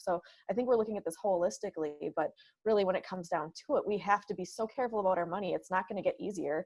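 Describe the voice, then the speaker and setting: A woman with an American accent and a plain, everyday voice, fairly quick in pace, with fairly even intonation. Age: young. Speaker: politician, mayor-elect. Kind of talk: interview.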